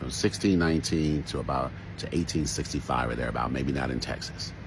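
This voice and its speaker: A man with an American accent speaks at a very deep, low pitch and a fairly quick pace, with ordinary pitch variation. Audible room echo and noticeable background noise fill the recording. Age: 60s. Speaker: social commentator. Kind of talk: commentary monologue. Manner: halting, with repetitions.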